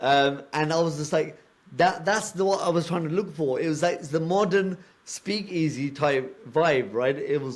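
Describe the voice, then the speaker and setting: A man speaks with a British accent. His pitch is fairly high. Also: ordinary pitch variation, moderate pace. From UK, British Punjabi background. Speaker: podcast co-host. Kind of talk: casual chat.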